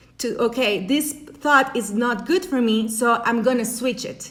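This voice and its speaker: A woman with a Spanish accent speaks at a fairly slow pace. Her high voice has a bright, sharp tone and ordinary pitch variation. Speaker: life coach. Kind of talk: motivational talk. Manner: halting.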